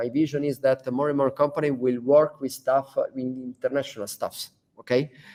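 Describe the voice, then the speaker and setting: A man's lively intonation in an Italian accent. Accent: Italian accent, non-native English. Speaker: founder of a digital training school. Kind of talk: business talk to staff. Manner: halting, many fillers.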